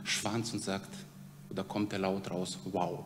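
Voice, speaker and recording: The speech moves at a very slow pace with audible room echo. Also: man. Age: 40s. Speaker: preacher at a mission organization. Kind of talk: sermon.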